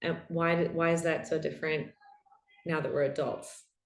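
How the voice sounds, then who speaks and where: A woman with a New York accent. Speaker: podcast host and somatic practitioner. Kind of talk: panel Q&A conversation.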